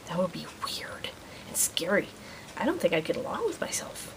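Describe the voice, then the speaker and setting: A woman talks at a moderate pace with very wide pitch swings. Noticeable background noise runs behind her. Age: 30s. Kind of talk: vlog monologue. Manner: stumbles on words sometimes; youthful, teen-like way of talking.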